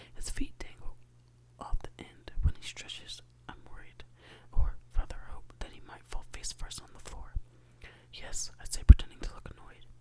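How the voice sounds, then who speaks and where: Noticeable background noise runs under whispered speech that moves at a moderate pace with long, frequent pauses. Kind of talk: ASMR bedtime reading of a novel. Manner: soft-spoken.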